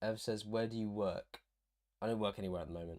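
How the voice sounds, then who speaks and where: In an English accent, a man speaks very fast with a monotone, flat intonation. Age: 20s. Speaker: university student and streamer. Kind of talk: casual livestream chat. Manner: casual, hesitant with fillers.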